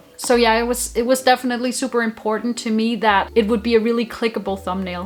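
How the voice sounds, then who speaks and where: A woman with a Danish accent speaks at a very fast pace in a fairly high pitch, her intonation monotone and flat. Music plays in the background. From Denmark. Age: 20s. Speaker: YouTuber. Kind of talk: vlog talking to camera. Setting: home, alone with camera.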